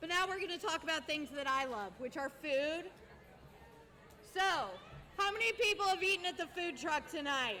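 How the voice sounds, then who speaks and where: A woman's raised, projected voice with an American accent, extremely high in pitch, bright and sharp in tone, with lively intonation, a moderate pace and long, frequent pauses. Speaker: roller derby announcer. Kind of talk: live commentary with sponsor reads. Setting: arena with live audience. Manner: loud.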